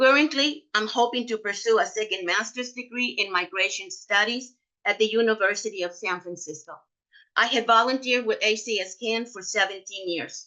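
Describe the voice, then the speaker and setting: Talking at a fairly quick pace, a woman has a fairly high pitch, a bright, sharp tone and ordinary pitch variation. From Mexico (Mexicali, Baja California). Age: 70s. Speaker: cancer survivor and patient advocate. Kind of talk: prepared personal testimony. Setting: webinar.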